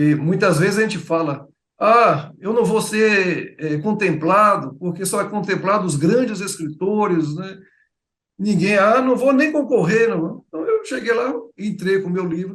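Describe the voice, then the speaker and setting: Fairly slow delivery from a high-pitched man with a Bahian accent, audible room echo around him. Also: ordinary pitch variation. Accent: Bahian, Feira de Santana. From Bahia, Brazil (Feira de Santana). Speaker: writer. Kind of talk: interview. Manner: halting.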